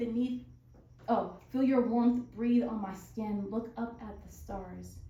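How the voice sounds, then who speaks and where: A fairly slow, monotone, flat delivery with an American accent. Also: woman. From Southern California. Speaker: spoken word poet. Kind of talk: poetry reading.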